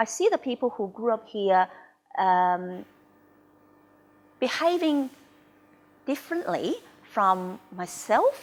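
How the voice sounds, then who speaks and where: A woman's fairly high voice with very wide pitch swings, a very slow pace and long, frequent pauses, on a very clean recording with a silent background. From Hong Kong. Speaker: Chinese community leader, migrant. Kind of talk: documentary interview. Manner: hesitant, many fillers.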